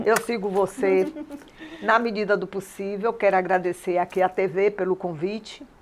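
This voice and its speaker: A woman with a Bahian accent speaks at a moderate pace and medium pitch, her intonation fairly even, over noticeable background noise. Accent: Bahian Brazilian Portuguese. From Salvador, Bahia, Brazil (Alagados). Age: 70s. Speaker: dance professor and choreographer. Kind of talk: interview.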